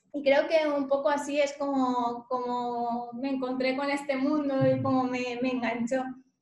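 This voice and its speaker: A woman speaks at a high pitch in a flat monotone, at a fairly slow pace. She hardly pauses, and audible room echo surrounds her voice. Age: 20s. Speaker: lawyer. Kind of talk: interview.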